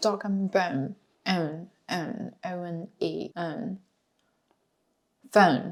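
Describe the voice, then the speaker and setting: A woman with a Chinese accent, fairly low in pitch, very slow, with long, frequent pauses and big swings in loudness. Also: ordinary pitch variation. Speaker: language expert and vlogger. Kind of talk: casual chat, language quiz.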